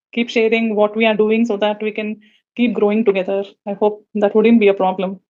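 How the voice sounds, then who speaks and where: A woman talks at a fairly quick pace in a South Indian accent. Her fairly high voice stays flat and monotone. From India, Visakhapatnam. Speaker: communication coach, audience participant. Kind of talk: casual chat. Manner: fluent.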